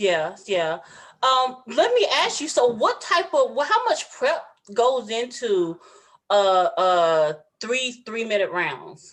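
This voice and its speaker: Speaking very slowly, a woman uses a high voice that makes very wide pitch swings. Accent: Southern US. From US South. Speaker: podcast host. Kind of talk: casual interview.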